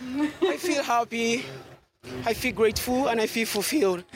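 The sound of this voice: Here is a breathy, put-on character voice with a fairly high pitch. It goes at a moderate pace.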